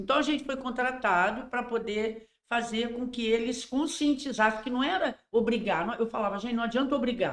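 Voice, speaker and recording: A woman with a high-pitched voice talks at a moderate pace, barely pausing, her pitch varying in an ordinary way. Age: 60s. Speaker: endomarketing consultant. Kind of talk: casual podcast interview.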